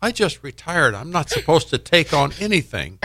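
Heard in a very clean recording against a silent background, a man with an American accent speaks at a moderate pace in a bright, sharp tone with vocal fry. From Indiana, US Midwest. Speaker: storytelling event organizer. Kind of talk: casual radio interview.

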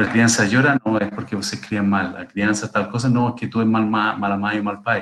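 A man talks at a moderate pace with hardly any pauses. His pitch is fairly low and his intonation fairly even. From Chile. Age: 50s. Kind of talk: interview. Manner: halting, repeats words.

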